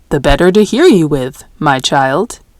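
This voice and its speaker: Using a put-on character voice, a woman speaks at a moderate pace with a very deep, low pitch. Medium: read story.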